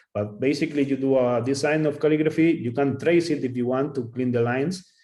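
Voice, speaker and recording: A man's voice has a dark, mellow tone. His intonation stays fairly even. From Spain. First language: Spanish. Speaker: calligrapher. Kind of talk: Q&A after a talk. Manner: halting.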